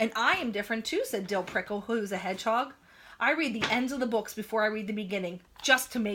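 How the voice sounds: What we hear is a natural reading voice.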